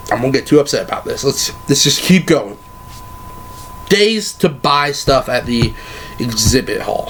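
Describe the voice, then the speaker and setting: A man at a fairly slow pace with long, frequent pauses, over noticeable background noise. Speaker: anime vlogger. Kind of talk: casual advice vlog.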